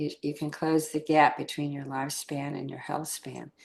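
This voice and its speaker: A woman speaks at a very deep, low pitch. Vocal fry runs through her voice. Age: 80s+. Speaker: fitness and wellness facilitator. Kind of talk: workshop discussion.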